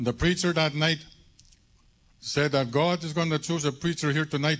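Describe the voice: The tone is fairly bright. Intonation stays fairly even. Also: man, fairly high pitch for a man, moderate pace.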